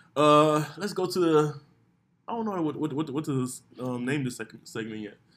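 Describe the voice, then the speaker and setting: Using an unremarkable speaking voice, a man talks at a moderate pace with lively intonation at a fairly high pitch. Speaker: podcast host. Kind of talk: casual chat. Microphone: far from the mic.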